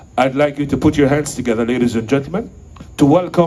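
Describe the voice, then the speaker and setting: A man speaks with a fairly high pitch and lively intonation. Audible room echo surrounds his voice. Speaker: event emcee. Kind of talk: stage introduction. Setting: stage with audience. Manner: formal.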